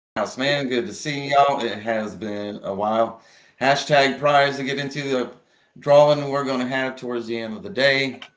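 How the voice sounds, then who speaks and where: A man speaks at a moderate pace and medium pitch. His pitch variation is ordinary, and the room echo is audible. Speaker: live stream host. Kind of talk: casual live stream chat. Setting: live stream.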